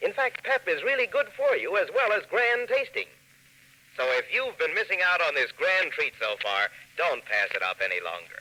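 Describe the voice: A man speaks at a moderate pace in a high pitch with a bright, sharp tone. His pitch makes big swings.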